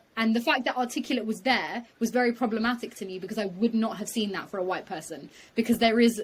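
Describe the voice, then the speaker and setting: Her fairly high voice is somewhat breathy as this woman talks at a very fast pace with ordinary pitch variation. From England, UK. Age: 20s. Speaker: law graduate and podcast host. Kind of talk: casual chat.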